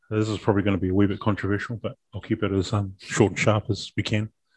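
On a dry, close recording with no echo and a quiet background, a man speaks with a New Zealand accent. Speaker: rugby podcast co-host. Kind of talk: casual chat.

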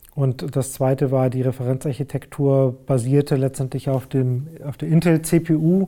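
A man speaks at a medium pitch in a dark, mellow tone, with fairly even intonation and hardly any pauses. The recording is very clean, with a silent background. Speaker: digital industry executive. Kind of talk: interview. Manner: halting, many fillers.

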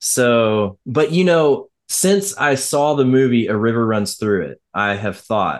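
A normal speaking voice at a fairly slow pace against a quiet background. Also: man. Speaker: podcast co-host. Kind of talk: casual chat.

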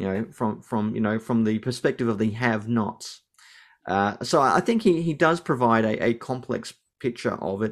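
A man with an Australian accent, very clean recording, silent background. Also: medium pitch for a man, ordinary pitch variation, moderate pace. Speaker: New Testament lecturer and Anglican priest. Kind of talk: interview.

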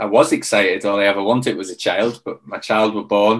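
With a British accent, a man talks at a fairly quick pace in a fairly low pitch and monotone, flat intonation. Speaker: former Royal Marines commando, mentor and coach. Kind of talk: casual interview conversation.

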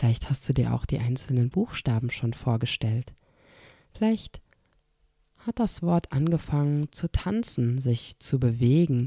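At a fairly slow pace, a woman with a very deep, low pitch and a dark, mellow, somewhat breathy tone speaks in a calm, soothing way, keeping very even loudness and long, frequent pauses in a dry, close recording with no echo. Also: very clean recording, silent background. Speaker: podcast host. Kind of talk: guided meditation. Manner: slow, calm, soothing; soft-spoken, with long pauses and repeated word.

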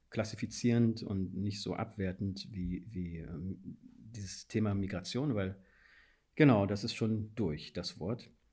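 A man speaks in a fairly low, dark, mellow voice that is somewhat breathy. His pace is fairly slow, with ordinary pitch variation. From Guinea. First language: Fula (speaking German). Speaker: policy adviser and anti-racism trainer. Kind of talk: interview. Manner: halting, many fillers.

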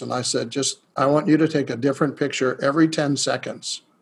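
Fairly high-pitched for a man, this ordinary speaking voice moves at a fairly quick pace with fairly even intonation. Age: 50s. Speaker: spiritual healer. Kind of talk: interview.

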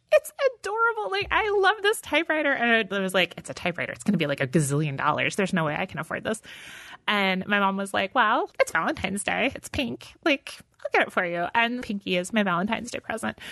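Against a quiet background, a woman talks at a very fast pace with an American accent. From Texas, then Michigan. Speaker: novelist. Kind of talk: interview. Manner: casual, laughs often.

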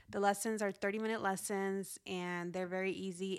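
A woman with a Spanish accent, medium pitch and a moderate pace. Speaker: podcast host, financial educator. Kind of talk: solo podcast monologue. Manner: casual, conversational.

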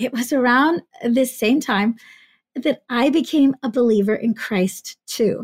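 A woman speaks in a high voice, recorded very cleanly against a silent background. The sound is dry and close, without any echo. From US, Greek immigrant family. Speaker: podcast host. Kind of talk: casual conversation.

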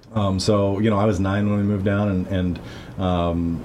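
Over noticeable background noise and audible room echo, a man speaks at a moderate pace in a very deep, low, monotone, flat voice. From Missouri-born, raised in Guatemala from age 9 to 18. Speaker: podcast co-host, church ministry member. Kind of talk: casual conversational interview. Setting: church basement office. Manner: frequent verbal backchannel agreement.

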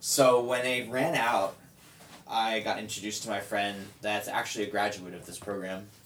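A man's fairly low voice at a moderate pace, fairly even in intonation, with big swings in loudness and noticeable background noise. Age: 30s. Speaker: person in drug addiction recovery. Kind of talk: casual chat.

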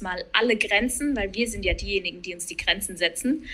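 A fairly high-pitched woman with a bright, sharp tone at a moderate pace on a very clean recording with a silent background. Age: 30s. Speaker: coach, digital nomad. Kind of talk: casual chat.

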